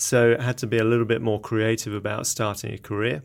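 A man with an English accent speaks in a flat monotone at a medium pitch and a moderate pace, on a very clean recording with a silent background. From England. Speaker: company CEO, scientist. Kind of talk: interview. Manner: halting, many filler words.

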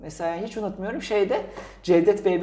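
Audible room echo is present. The man speaks at a very fast pace. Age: 20s. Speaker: podcast co-host. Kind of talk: casual chat.

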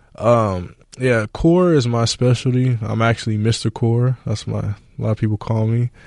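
A man with an unremarkable speaking voice talks at a medium pitch and a moderate pace, with ordinary pitch variation and hardly any pauses. The sound is dry and close with no echo, over a quiet background. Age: 30s. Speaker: fitness trainer. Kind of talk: casual interview. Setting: studio.

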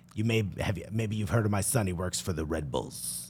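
A man's put-on character voice in a strong Long Island accent, very deep and low in pitch, at a moderate pace over clear background noise. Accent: heavy Long Island.

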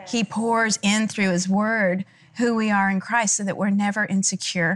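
A woman speaks at a moderate pace with fairly even intonation and a medium pitch. Hers is an unremarkable speaking voice. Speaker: TV talk show host. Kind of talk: panel conversation.

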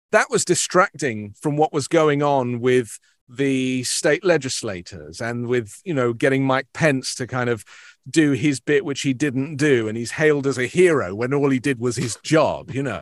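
A man with a British accent at a moderate pace. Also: medium pitch for a man, ordinary pitch variation, dry, close sound with no echo. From England. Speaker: news broadcaster. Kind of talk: interview discussion of news.

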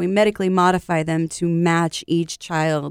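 A woman's unremarkable speaking voice at medium pitch and moderate pace, dry and close with no echo, very cleanly recorded over a silent background. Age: 30s. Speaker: childhood cancer survivor and charity founder. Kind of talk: interview.

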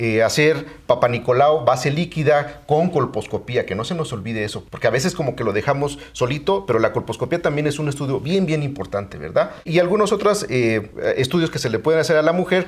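With a normal speaking voice, a man talks at a fairly quick pace, fairly high in pitch, with lively intonation. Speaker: physician. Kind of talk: interview.

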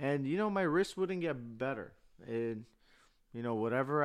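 A man with an American accent on a very clean recording, with a silent background. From Burbank, California, US. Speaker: guest sharing a recovery story. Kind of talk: casual chat, personal testimony. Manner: halting, many fillers.

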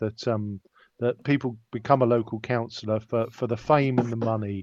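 With an ordinary speaking voice at a medium pitch, a man talks at a moderate pace. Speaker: podcast co-host and interviewer. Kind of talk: casual interview. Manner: wry, chatty.

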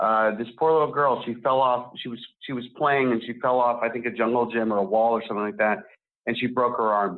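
A man with an unremarkable speaking voice talks at a fairly quick pace, with a medium pitch and fairly even intonation. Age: 40s. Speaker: writer and film director. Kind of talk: interview.

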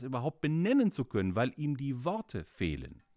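At a moderate pace, a man of medium pitch speaks on a very clean recording with a silent background. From Austria, Carinthia (Gailtal). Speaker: Luther expert. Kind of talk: casual expert conversation. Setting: studio.

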